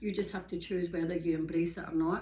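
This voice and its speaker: A somewhat breathy woman talks with a Glaswegian accent. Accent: Glaswegian Scottish. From Scotland, Glasgow. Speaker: yoga and hiking vlogger. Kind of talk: casual monologue. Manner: fast.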